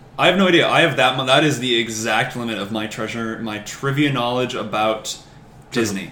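At a medium pitch and moderate pace, a man with an American accent speaks with ordinary pitch variation amid noticeable background noise. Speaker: podcast guest. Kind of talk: casual chat.

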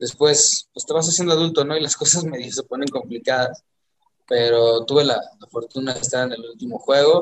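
A man talks in an ordinary speaking voice, pitched fairly high. His intonation is lively and his loudness swings widely. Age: 40s. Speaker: singer and football fan. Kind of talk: casual chat.

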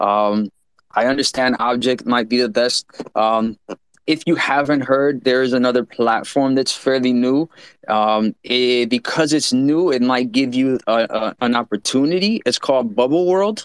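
A man talks at a moderate pace in a normal speaking voice, medium in pitch with ordinary pitch variation. The sound is dry and close with no echo, and his loudness stays very even. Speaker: NFT community member. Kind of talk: casual discussion.

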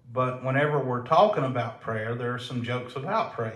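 A man talks at a medium pitch with fairly even intonation. Room echo is audible. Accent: Southern US. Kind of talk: casual chat.

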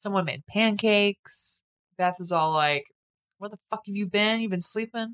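At a moderate pace, a woman with an American accent speaks in a plain, everyday voice with ordinary pitch variation, recorded dry and close with no echo. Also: medium pitch for a woman. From Minnesota. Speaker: horror movie podcast co-host. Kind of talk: casual chat.

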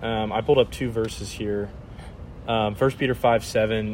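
This man speaks at a medium pitch. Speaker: podcast co-host. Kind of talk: casual chat.

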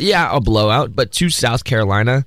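The pace is moderate. The intonation is lively. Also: man. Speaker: student radio sports co-host. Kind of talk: casual sports talk. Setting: radio studio.

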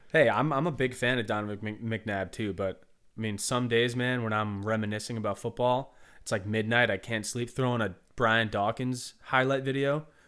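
Using a plain, everyday voice, a man of medium pitch speaks with an American accent at a moderate pace and with fairly even intonation. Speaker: singer-songwriter. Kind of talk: casual interview. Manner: casual, laid-back.

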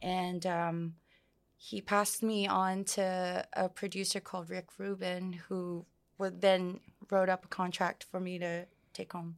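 In a very clean recording with a silent background, a woman speaks at a fairly slow pace and medium pitch, her intonation monotone and flat. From Samoa. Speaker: musician. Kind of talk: casual interview.

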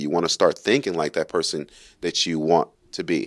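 A man speaks with an American accent. The recording is very clean, with a silent background and a dry, close sound with no echo. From Brooklyn, New York and Kentucky. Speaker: car content creator and graphic designer. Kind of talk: casual chat.

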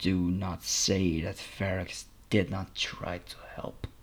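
A man puts on a character voice, very deep and low in pitch, speaking quietly at a fairly slow pace. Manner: quiet, fearful, broken grammar, speaks of himself by name.

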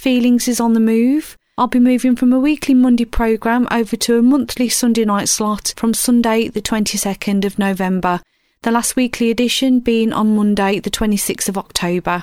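A woman with a British accent and a fairly high pitch speaks at a moderate pace with hardly any pauses, in a very clean recording with a silent background. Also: ordinary pitch variation. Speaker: radio DJ. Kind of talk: radio DJ patter, live chilled-music show links. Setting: radio studio. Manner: relaxed, mellow, friendly.

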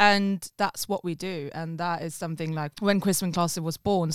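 The speaker talks at a fairly quick pace in a monotone, flat delivery. The sound is dry and close with no echo, on a very clean recording with a silent background. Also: woman. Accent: Swedish. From Sweden. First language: Swedish. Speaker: musician. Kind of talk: casual chat. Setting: studio.

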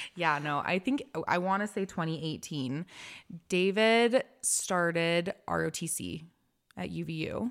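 Here is a woman with an unremarkable speaking voice and an American accent, fairly low in pitch with lively intonation. She talks at a fairly slow pace in a very clean recording with a silent background. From Utah. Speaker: podcast host, stay-at-home mom, former esthetician. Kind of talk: casual chat.

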